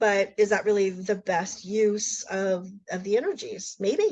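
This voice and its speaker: A woman's medium-pitched, animated voice with ordinary pitch variation. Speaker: spiritual teacher. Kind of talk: casual talk on astrology.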